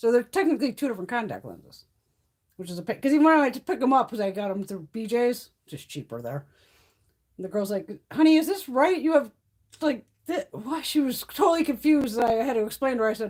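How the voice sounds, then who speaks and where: In a very clean recording with a silent background, a woman with a high pitch talks at a very fast pace, with very wide pitch swings and big swings in loudness. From Connecticut. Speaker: beauty YouTuber. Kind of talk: casual chat. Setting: live stream.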